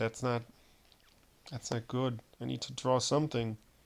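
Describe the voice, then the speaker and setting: Speaking with a German accent, a man of medium pitch keeps a moderate pace and fairly even intonation. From Germany. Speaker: gaming streamer. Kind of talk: gameplay commentary. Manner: halting, with many fillers and repetitions.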